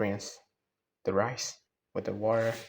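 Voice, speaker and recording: A man talks at a moderate pace in a fairly low pitch with a relaxed tone. His intonation is monotone and flat. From Myanmar. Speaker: student. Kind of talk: casual cooking vlog talk to camera. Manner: relaxed, chill.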